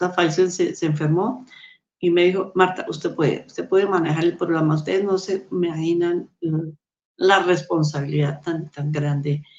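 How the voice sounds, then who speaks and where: A woman with an unremarkable speaking voice, fairly low in pitch, at a moderate pace with fairly even intonation. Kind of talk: testimony.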